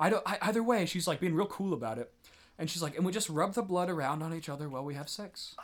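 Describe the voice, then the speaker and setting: Talking at a very fast pace, a man uses a high pitch and ordinary pitch variation. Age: 20s. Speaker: podcast co-host. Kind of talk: casual chat. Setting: studio.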